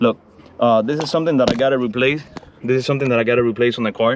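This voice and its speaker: The speaker, in a Spanish accent, keeps a fairly even intonation. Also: man. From Cuba. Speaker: classic car YouTuber. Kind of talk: casual vlog walkthrough. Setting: outdoors.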